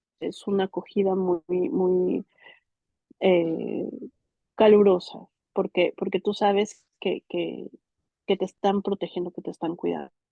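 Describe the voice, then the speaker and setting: A woman speaks at a medium pitch and a fairly slow pace, with long, frequent pauses. Her intonation is monotone and flat. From Mexico. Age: 30s. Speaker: migrant interviewee. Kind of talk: interview testimony. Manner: halting, many repetitions and fillers.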